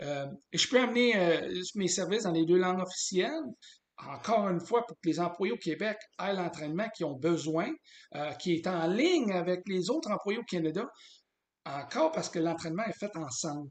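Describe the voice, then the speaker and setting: At a medium tempo, a man with a high voice talks, his pitch shifting in a normal way. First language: English (speaking French). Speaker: business consultant. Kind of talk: sales pitch. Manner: halting, many hesitations.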